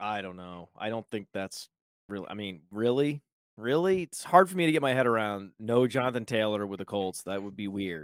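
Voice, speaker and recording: A man with an unremarkable speaking voice talks at a moderate pace with fairly low pitch, lively intonation and big swings in loudness, in a dry, close sound with no echo on a very clean recording with a silent background. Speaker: fantasy sports media executive. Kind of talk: casual chat.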